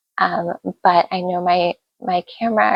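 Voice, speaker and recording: A soft-spoken woman. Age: 40s. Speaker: author and YouTuber. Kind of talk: casual vlog introduction. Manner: halting, many fillers and repeats. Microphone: phone recording with external mic.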